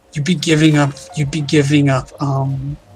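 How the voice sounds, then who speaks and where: Music plays in the background as a man with a fairly high pitch and ordinary variation speaks at a fairly slow pace. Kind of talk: casual livestream discussion.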